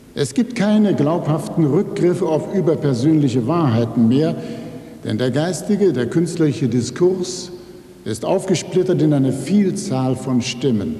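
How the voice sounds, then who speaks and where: Audible room echo surrounds a man speaking at a fairly slow pace, his fairly high pitch carrying lively intonation. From Rhineland, Germany (Neuss); Rhineland, Germany. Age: 60s. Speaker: writer. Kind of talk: acceptance speech. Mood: calm, reflective. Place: hall. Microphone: podium.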